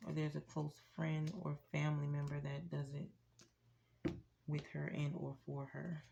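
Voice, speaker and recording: Her voice is very deep and low, with a dark, mellow tone and a somewhat breathy quality, as the woman speaks at a fairly slow pace in a monotone, flat intonation. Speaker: tarot reader. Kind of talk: tarot reading. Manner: speaking low; casual.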